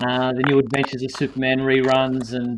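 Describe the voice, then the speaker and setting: At a moderate pace, a man talks in a plain, everyday voice with a medium pitch. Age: 50s. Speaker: live show host. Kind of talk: casual chat.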